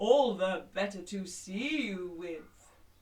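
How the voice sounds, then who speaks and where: A man uses a put-on character voice with a high pitch. He speaks at a very slow pace. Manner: menacing, playful.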